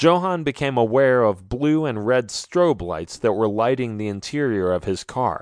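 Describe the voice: Intonation here is lively. The delivery is plain reading aloud.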